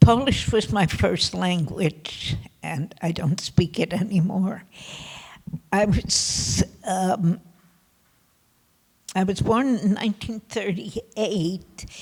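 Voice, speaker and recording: A woman speaks at a very slow pace with long, frequent pauses. Her pitch is medium, with ordinary variation. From Poland. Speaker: Holocaust survivor. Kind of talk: testimony. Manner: soft-spoken.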